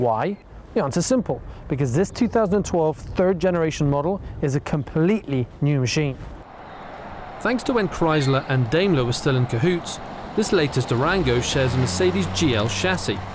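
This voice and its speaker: Over noticeable background noise, a man talks at a moderate pace in a fairly high pitch, his pitch swinging very widely while his loudness stays very even. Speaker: car reviewer. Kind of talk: scripted narration.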